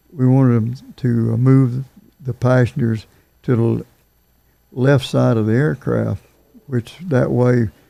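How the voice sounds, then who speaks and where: Very slowly and with long, frequent pauses, a man speaks at a medium pitch in a dark, mellow tone with fairly even intonation. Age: 80s+. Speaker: retired airline pilot. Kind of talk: interview answer.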